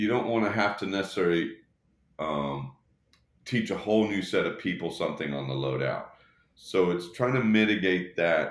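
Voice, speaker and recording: An unremarkable speaking voice belongs to a man with an American accent and fairly low pitch. He moves at a moderate pace with lively intonation. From Texas, Dallas. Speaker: touring production rigger. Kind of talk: casual interview.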